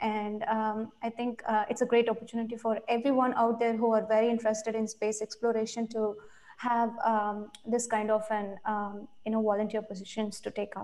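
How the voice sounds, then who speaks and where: Speaking with an Indian accent, a woman talks with hardly any pauses in a flat monotone. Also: moderate pace. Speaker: volunteer program coordinator; presenter. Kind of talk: interview. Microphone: video call.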